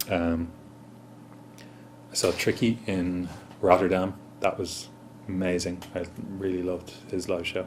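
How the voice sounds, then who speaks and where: With an Irish accent, a man speaks in a very deep, low voice at a fairly slow pace, with monotone, flat intonation and long, frequent pauses. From Ireland. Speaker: musician. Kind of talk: interview. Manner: hesitant, many fillers.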